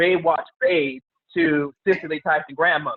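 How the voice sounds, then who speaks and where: The man here speaks at a high pitch. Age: 40s. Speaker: podcast host. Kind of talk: casual interview.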